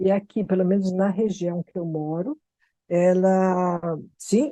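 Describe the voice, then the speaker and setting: A woman with a São Paulo accent speaks very slowly at a medium pitch, her dark, mellow tone showing ordinary pitch variation in a dry, close recording with no echo. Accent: São Paulo Brazilian Portuguese. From Brazil, São Paulo city. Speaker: expat interviewee. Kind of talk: casual podcast chat.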